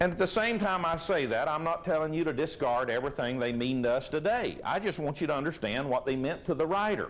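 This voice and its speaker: Over audible room echo, a man with a fairly high pitch speaks very fast with lively intonation and very even loudness. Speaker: preacher. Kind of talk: sermon. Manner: conversational, rhetorical questions to audience.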